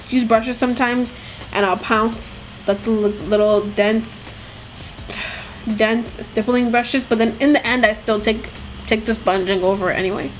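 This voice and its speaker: Noticeable background noise under a woman's fairly high-pitched voice, moderate in pace and fairly even in intonation. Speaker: beauty vlogger. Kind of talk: makeup tutorial. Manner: casual, filler-heavy.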